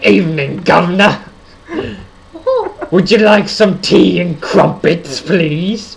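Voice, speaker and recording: A female-sounding voice puts on a character voice at a fairly low pitch. The delivery is fairly slow, with long, frequent pauses. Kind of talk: exaggeratedly polite. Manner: mocking, playful.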